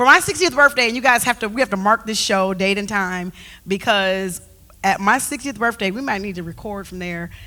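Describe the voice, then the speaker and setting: Her tone is bright, sharp and animated. The woman talks at a fairly quick pace with big swings in loudness. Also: medium pitch for a woman, ordinary pitch variation. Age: 50s. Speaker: talk show co-host. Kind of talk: casual chat.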